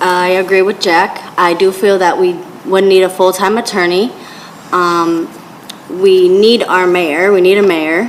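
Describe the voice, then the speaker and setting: Against noticeable background noise, a woman with an American accent speaks very slowly at a medium pitch, with fairly even intonation and very even loudness. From Dunkirk, western New York. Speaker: city council candidate. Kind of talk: candidate forum answers.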